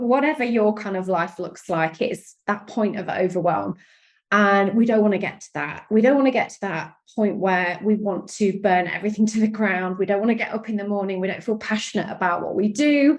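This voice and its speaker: A woman speaks in an animated, enthusiastic tone with a British accent. Her pitch is medium, with ordinary variation. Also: fairly quick pace. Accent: British accent, noticeable. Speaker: sales and strategy coach. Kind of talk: interview podcast.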